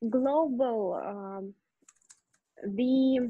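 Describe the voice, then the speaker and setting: A woman talks in a Russian accent with ordinary pitch variation. The background is quiet. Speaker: English student. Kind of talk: language lesson. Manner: halting, many fillers.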